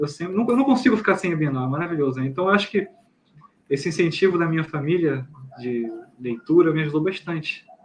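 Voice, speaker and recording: This man's pitch sits fairly high. He speaks at a very fast pace. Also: lively intonation. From Brazil, Rio de Janeiro. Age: 30s. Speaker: author and journalist. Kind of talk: interview conversation.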